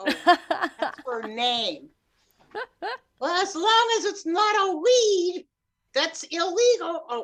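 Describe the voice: Using a put-on character voice at an extremely high pitch, a woman speaks at a very slow pace with long, frequent pauses.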